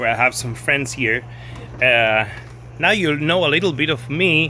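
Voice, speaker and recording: A man talks at a medium pitch with a Spanish accent. Noticeable background noise is present. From Argentina. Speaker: pinball restorer. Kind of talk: casual video talk, showing restorations. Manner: halting, many repeats and fillers.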